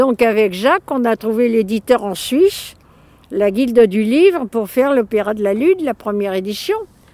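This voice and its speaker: Her pitch sits fairly high, with lively intonation and a dark, mellow tone. The woman keeps a moderate pace. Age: 90s. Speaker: illustrator and artist. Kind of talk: interview. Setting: outdoors. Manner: colloquial, lively.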